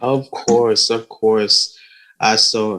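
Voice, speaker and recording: Fairly low in pitch, a man talks with fairly even intonation and an unremarkable speaking voice. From Canada, Ghanaian parents. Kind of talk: panel webinar interview.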